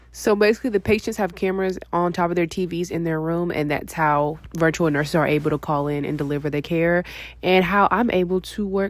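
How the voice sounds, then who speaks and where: A woman with an unremarkable speaking voice talks at a fairly low pitch and a fairly quick pace. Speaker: registered nurse vlogger. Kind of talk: vlog narration. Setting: at home.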